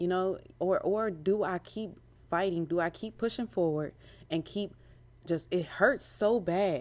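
A woman with a fairly low voice speaks in an animated tone at a moderate pace, with ordinary pitch variation. The recording is very clean with a silent background. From Maryland, US. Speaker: podcast host. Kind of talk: casual chat. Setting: at home; at work.

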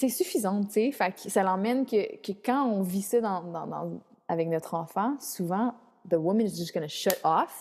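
Her pace fairly slow, a woman speaks at a medium pitch. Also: ordinary pitch variation. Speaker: spiritual coach, mother. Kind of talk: casual interview chat. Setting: remote call from Mexico. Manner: animated.

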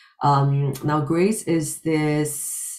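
A woman speaks at a very deep, low pitch. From Singapore. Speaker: professor and author. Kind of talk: personal testimony.

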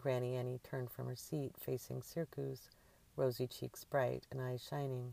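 What comes through is an unforced reading voice.

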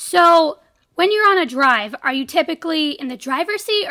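Her voice raised and projected, a woman talks at a fairly quick pace with a bright, sharp tone and lively intonation. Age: 20s. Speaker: podcast co-host. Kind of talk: casual interview.

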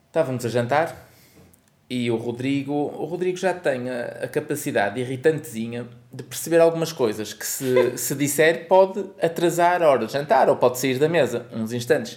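A man with a fairly high pitch, ordinary pitch variation and a moderate pace, a plain, everyday voice. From northern Portugal, Porto (Aldoar). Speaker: podcast co-host and parent. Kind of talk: casual chat.

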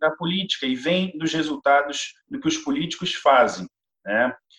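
Here is a man with a normal speaking voice. He goes at a fairly slow pace with lively intonation. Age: 30s. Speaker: city council candidate and university lecturer. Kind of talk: interview.

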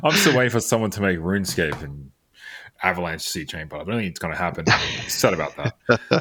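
With lively intonation and big swings in loudness, a man talks at a fairly quick pace in a very deep, low voice. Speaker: podcast host. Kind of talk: casual interview chat.

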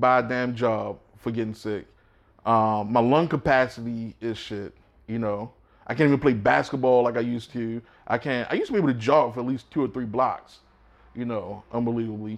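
In an ordinary speaking voice, a man with an American accent speaks at a fairly quick pace and medium pitch with fairly even intonation against a quiet background. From Baltimore, US. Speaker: paramedic and podcast host. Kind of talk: casual chat.

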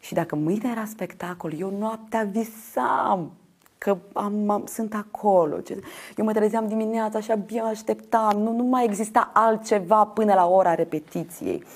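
Here is a woman with a normal speaking voice and a fairly high pitch. Her pace is fairly slow, and her pitch varies in an ordinary way. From Moldova, Ștefan Vodă district. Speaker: actress and theatre director. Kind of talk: interview.

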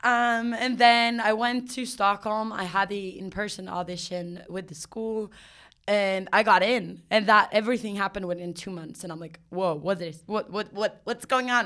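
A woman with a Swedish accent talks at a moderate pace and medium pitch with ordinary pitch variation and a bright, sharp tone. Her loudness swings widely in a very clean recording with a silent background. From Sweden. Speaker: actress and singer, clown. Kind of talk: casual chat, interview. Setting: recording in New York.

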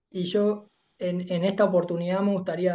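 A man's high-pitched voice with a dark, mellow tone, at a fairly slow pace. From Uruguay, Montevideo. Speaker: life coach, HR professional. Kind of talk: interview conversation.

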